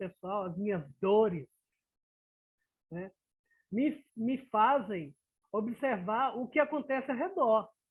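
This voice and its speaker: With long, frequent pauses, a man speaks at an extremely high pitch, his voice making very wide pitch swings. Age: 60s. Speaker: professional in a retirement study group. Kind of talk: group discussion.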